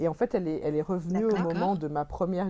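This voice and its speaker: Ordinary pitch variation from a woman amid noticeable background noise. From Belgium (childhood in Cameroon). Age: 30s. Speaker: restaurant owner. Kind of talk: interview.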